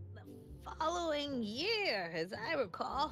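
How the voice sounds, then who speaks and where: Against clear background noise, a woman uses a put-on character voice at a high pitch and a fairly slow pace. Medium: video game. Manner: scolding, prim.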